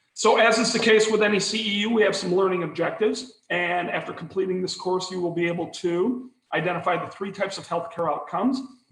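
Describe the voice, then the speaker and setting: Talking at a very fast pace, a man with a high-pitched voice shows ordinary pitch variation amid audible room echo. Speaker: continuing education presenter. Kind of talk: webinar lecture.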